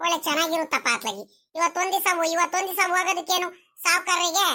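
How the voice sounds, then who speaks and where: A cartoonish character voice delivered at a moderate pace. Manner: casual, rustic.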